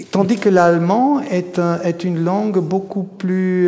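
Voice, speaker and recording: A man with an Italian accent and a high pitch, amid audible room echo and noticeable background noise. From German-speaking Switzerland, Graubünden, Italian immigrant family. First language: Italian (speaking French). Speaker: novelist and lecturer. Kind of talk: public literary discussion; reading aloud from his novel. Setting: stage with audience. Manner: halting, repeats words.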